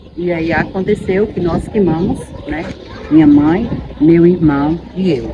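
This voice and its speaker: A fairly low-pitched woman at a very slow pace, ordinary pitch variation, and noticeable background noise. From Bahia, Brazil. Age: 50s. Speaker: teacher. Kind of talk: testimony.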